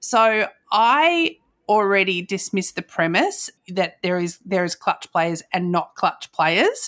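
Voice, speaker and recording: A woman with an Australian accent speaks at a medium pitch and a very slow pace. The sound is dry and close with no echo. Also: lively intonation, very clean recording, silent background. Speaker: podcast host. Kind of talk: casual chat.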